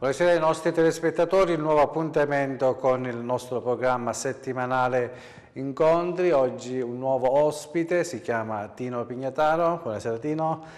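A man speaks at a medium tempo in an ordinary speaking voice, pitched fairly high, with pitch that varies in an ordinary way. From Sicily, Adrano area. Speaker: TV host. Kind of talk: TV interview.

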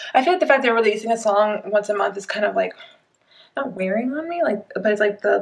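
A woman at a fairly quick pace over a quiet background. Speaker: reaction vlogger. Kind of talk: casual vlog chat. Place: home room. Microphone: webcam.

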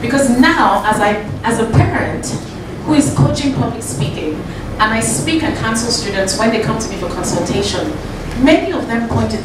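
The speech runs at a moderate pace. Audible room echo and noticeable background noise are present. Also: woman. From Nigeria. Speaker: guest speaker at a bootcamp. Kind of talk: motivational talk to a live audience. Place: meeting room.

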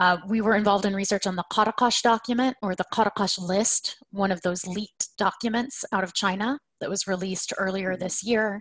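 With an American accent, this speaker talks at a fairly quick pace with hardly any pauses. The intonation is fairly even, and the background is quiet. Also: woman, medium pitch for a woman. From US South (Oklahoma). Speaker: researcher and advocate; panelist. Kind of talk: webinar panel talk. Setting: video call. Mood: earnest, informative. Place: home room. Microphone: video call.

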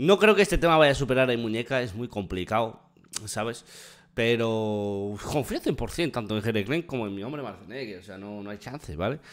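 Over a quiet background, a man speaks at a moderate pace. His loudness swings widely while his pitch varies in an ordinary way. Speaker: music reaction streamer. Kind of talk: casual reaction chat. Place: home room. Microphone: studio mic.

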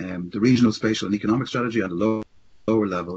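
A man with an Irish accent, fairly low in pitch, at a very fast pace. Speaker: city housing policy official. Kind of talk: webinar presentation. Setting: video call.

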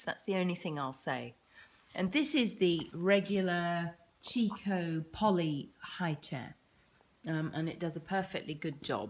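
The speaker, in a British accent, goes at a fairly slow pace with ordinary pitch variation. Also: woman. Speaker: parent vlogger. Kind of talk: casual tutorial. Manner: hesitant, many fillers.

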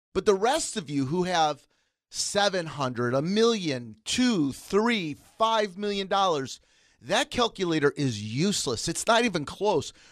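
Speaking at a very slow pace, this man has a high pitch that swings very widely. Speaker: financial instructor. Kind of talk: educational radio talk. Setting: studio.

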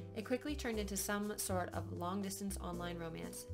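Clear music is heard in the background. Over it, a woman speaks at a very fast pace. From Canada. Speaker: vlogger. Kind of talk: casual storytime talk to camera. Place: home room. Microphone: webcam.

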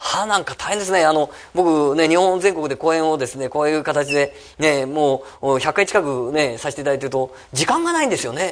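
A man at a fairly quick pace, fairly high in pitch, with ordinary pitch variation. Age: 50s. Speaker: real estate company head and seminar speaker; presenter. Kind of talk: seminar talk. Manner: many fillers, halting. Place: meeting room. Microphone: podium.

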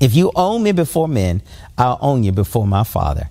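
With a warm tone and very wide swings in pitch, a man talks at a moderate pace. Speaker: pastor. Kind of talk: sermon. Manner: earnest, warm, exhortative preacher's cadence.

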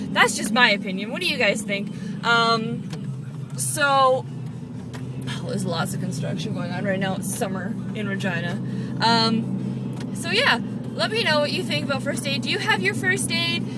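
The speech moves at a moderate pace with long, frequent pauses, over loud background noise. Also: woman. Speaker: fitness instructor and vlogger. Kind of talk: casual video blog. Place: car. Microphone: phone near.

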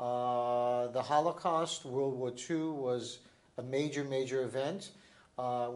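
The man talks with fairly even intonation. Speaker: interviewee. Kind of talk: interview answer. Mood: calm, reflective.

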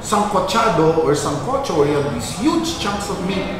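A man speaks at a moderate pace amid noticeable background noise and strong room echo. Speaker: guest. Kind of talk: conversational explanation. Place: cafe.

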